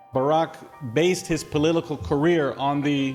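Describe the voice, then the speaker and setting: With music playing in the background, a man speaks at a moderate pace in a fairly high pitch with ordinary pitch variation. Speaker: film director. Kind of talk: interview questions.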